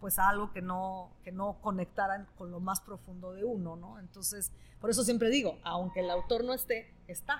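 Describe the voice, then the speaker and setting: A woman is speaking. There is a somewhat breathy quality to her voice. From northern Italy. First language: Italian (speaking Spanish). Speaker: novelist. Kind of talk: interview. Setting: live event with audience.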